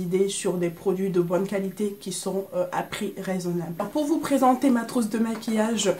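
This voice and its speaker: Noticeable background noise runs under a woman's voice. She speaks at a medium pitch and a moderate pace. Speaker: beauty vlogger. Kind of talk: casual makeup vlog. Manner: hesitant, many fillers.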